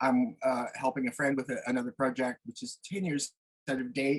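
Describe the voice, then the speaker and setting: A man's fairly high-pitched voice comes through with a dry, close sound and no echo. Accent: Maritime Canadian. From New Brunswick, Canada. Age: 60s. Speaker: retired artist. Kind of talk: interview. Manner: halting, many fillers.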